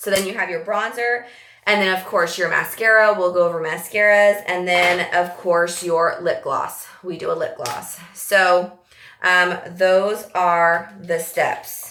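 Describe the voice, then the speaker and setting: Noticeable background noise sits behind the speech. A woman talks at a medium pitch. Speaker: makeup tutorial presenter. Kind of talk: tutorial. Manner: fast; animated.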